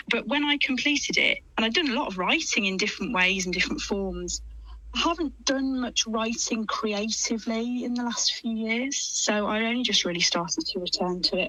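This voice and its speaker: Over noticeable background noise, a woman with a fairly high pitch talks at a moderate pace with lively intonation. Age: 40s. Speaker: writer and health coach. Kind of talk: radio interview. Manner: halting.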